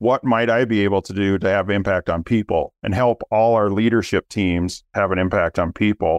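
A man with a Minnesota accent, fairly low in pitch, fairly even intonation, moderate pace and hardly any pauses, in a dry, close sound with no echo. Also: quiet background. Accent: Minnesota Midwestern. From Minnesota, US Midwest. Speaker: business owner, family company executive. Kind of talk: casual interview chat.

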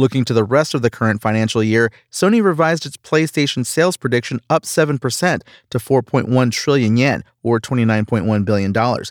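A man talks in a normal speaking voice at medium pitch and a fairly quick pace. The recording is very clean, dry and close, with no echo and a silent background. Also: ordinary pitch variation. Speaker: news presenter. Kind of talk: formal newsreading. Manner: formal.

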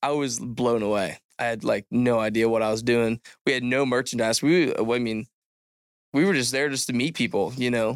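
In a very clean recording with a silent background, a man with an American accent uses a normal speaking voice at medium pitch, keeping a moderate pace and fairly even intonation. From Southern Illinois. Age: 20s. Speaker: podcast co-host. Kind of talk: casual chat. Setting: studio.

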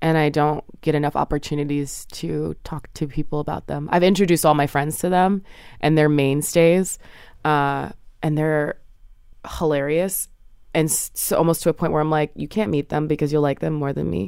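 A woman with a very deep, low voice speaks at a moderate pace with fairly even intonation. The recording is very clean, with a silent background. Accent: American. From New Jersey. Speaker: art curator and writer. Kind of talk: casual interview.

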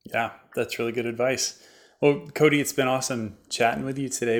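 Very clean audio with a silent background carries a man's normal speaking voice at medium pitch. He keeps a moderate pace and fairly even intonation. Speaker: podcast host. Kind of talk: interview conversation.

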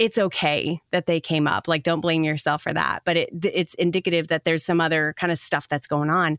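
A woman with a plain, everyday voice talks at a fairly quick pace and fairly low pitch, her intonation fairly even and her loudness very even, in a dry, close sound with no echo. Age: 40s. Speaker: meditation podcast founder. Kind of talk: casual chat. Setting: video call.

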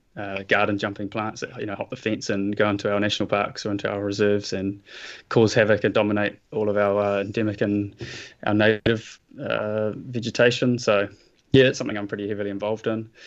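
With a New Zealand accent, a man speaks at a very fast pace in a fairly low pitch, his intonation monotone and flat, against a quiet background. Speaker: nature photographer and environmental activist. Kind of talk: interview.

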